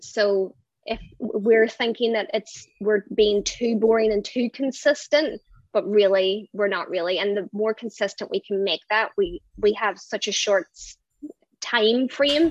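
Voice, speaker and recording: In a strong Irish accent, a woman talks at a fairly slow pace with a fairly high pitch and lively intonation. The sound is dry and close, with no echo. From Ireland. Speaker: brand designer. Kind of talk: casual interview.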